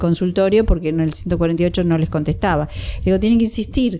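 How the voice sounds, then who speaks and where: Against noticeable background noise, a woman at a fairly low pitch talks at a fairly quick pace. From Buenos Aires province, Argentina. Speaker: pulmonologist. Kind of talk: expert interview.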